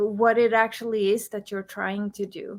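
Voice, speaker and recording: On a very clean recording with a silent background, a woman with a non-native accent speaks at a fairly high pitch. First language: not English. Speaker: business coach and entrepreneur. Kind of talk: podcast interview. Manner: halting, with fillers and restarts.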